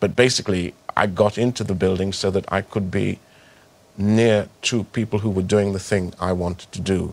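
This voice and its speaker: Flat, monotone intonation holds through speech delivered at a moderate pace. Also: man, fairly low pitch for a man. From Trinidad. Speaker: actor. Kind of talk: interview answer.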